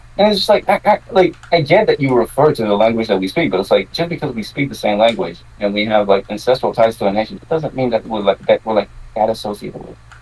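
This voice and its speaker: A man at a very fast pace, medium pitch and lively intonation, with noticeable background noise. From Quebec. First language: French. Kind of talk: casual chat.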